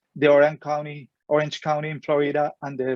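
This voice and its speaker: At a moderate pace, a man in a Colombian accent speaks with a fairly high pitch. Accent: Colombian Spanish accent, noticeable. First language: Spanish. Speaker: philosophy professor. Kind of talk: lecture. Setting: webinar. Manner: halting, with repetitions.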